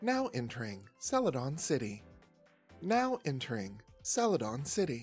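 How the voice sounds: Putting on a character voice, a man talks at a moderate pace and medium pitch over faint music in the background.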